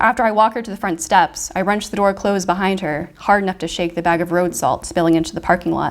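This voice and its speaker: Soft-spoken, a woman talks very fast with hardly any pauses at a medium pitch and fairly even intonation. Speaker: fiction writer. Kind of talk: reading aloud.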